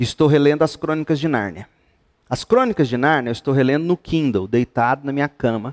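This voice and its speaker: A man at a moderate pace, ordinary pitch variation, and a dry, close sound with no echo. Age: 50s. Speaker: pastor. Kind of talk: Bible study teaching to youth group. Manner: animated.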